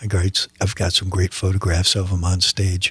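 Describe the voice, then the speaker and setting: Somewhat breathy speech at a moderate pace, with a dry, close sound and no echo. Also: man. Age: 70s. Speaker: photographer and musician. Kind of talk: radio interview. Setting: radio studio. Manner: halting.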